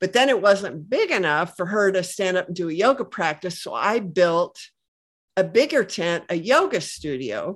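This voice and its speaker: Against a quiet background, a woman with an unremarkable speaking voice and medium pitch talks at a moderate pace with lively intonation. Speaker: health product entrepreneur, former engineer. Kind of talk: podcast interview.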